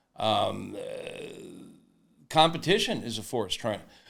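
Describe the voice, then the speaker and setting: This man's voice carries vocal fry. Audible room echo surrounds it. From Florida. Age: 70s. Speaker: barbecue author and website founder. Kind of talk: podcast interview. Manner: halting, many fillers.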